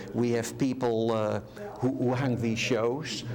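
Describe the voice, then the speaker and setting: In a Dutch accent, a man at medium pitch speaks with monotone, flat intonation at a moderate pace, with audible room echo and noticeable background noise. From Netherlands. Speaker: art center volunteer. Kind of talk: interview. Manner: halting.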